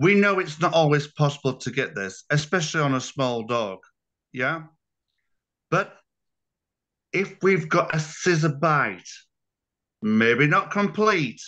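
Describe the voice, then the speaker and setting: With a British accent, a man speaks fairly slowly in a fairly high pitch, his bright, sharp tone and lively intonation broken by long, frequent pauses over a quiet background. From UK. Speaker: dog breeder and show judge. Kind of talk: webinar roundtable discussion.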